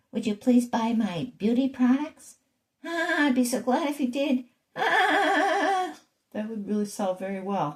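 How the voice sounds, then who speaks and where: Delivered at a fairly slow pace, a put-on character voice sits at a fairly high pitch. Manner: pleading, sales-pitch.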